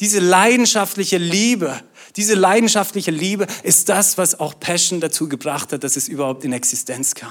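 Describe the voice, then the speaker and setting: Lively intonation colors a man's high-pitched voice. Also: moderate pace. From Austria. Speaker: pastor. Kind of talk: sermon.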